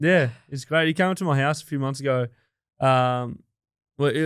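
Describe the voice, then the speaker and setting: Fairly quick speech on a very clean recording with a silent background. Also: man. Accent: Australian. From regional New South Wales, Australia. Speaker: music producer. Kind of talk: casual interview chat. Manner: casual, hesitant with fillers.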